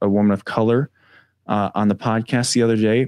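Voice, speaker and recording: In a very clean recording with a silent background and a dry, close sound with no echo, a man uses a normal speaking voice at a moderate pace with fairly even intonation. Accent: American. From Wisconsin, US Midwest. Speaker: mental health coach and combat veteran. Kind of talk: interview conversation.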